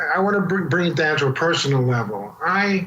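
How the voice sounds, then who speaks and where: With lively intonation and a high pitch, a man speaks amid audible room echo and noticeable background noise. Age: 60s. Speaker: alternative medicine doctor and author. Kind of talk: interview. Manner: halting, with restarts.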